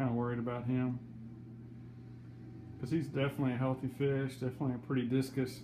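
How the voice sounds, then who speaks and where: A man with a Western Kentucky accent talks at a very fast pace, leaving long, frequent pauses. His medium-pitched voice is somewhat breathy, with a dark, mellow tone and monotone, flat intonation. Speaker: aquarium hobbyist vlogger. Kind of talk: casual video update.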